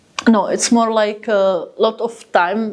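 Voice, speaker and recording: Here a woman speaks with a Czech accent. She goes at a very slow pace with fairly even intonation. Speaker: interpreter. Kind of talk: interpreting.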